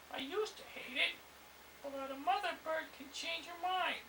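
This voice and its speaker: A man puts on a character voice at an extremely high pitch. Clear background noise runs behind him. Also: moderate pace. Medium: read story.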